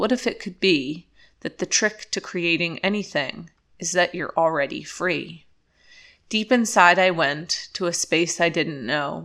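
A woman in a normal speaking voice talks at a fairly low pitch and a fairly slow pace with lively intonation, on a very clean recording with a silent background. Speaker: podcaster and poet. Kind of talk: poetry reading, spoken-word poem read aloud. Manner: slow, measured, contemplative, with rhythmic rhyming cadence; calm, soothing, sincere.

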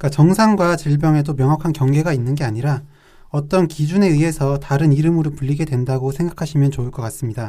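A man speaks very fast, fairly high in pitch. His tone is dark and mellow, and somewhat breathy. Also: ordinary pitch variation. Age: young. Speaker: psychiatrist co-host. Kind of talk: casual chat.

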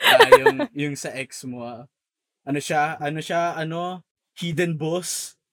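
A bright, sharp tone at a very slow pace, with fairly even intonation and big swings in loudness. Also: man, fairly high pitch for a man. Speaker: podcast co-host. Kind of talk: casual chat.

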